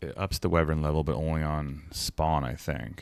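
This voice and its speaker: Mumbling with fairly even intonation, a man speaks at a very deep, low pitch on a very clean recording with a silent background. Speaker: video game streamer. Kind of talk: gameplay stream commentary. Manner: mumbling to himself.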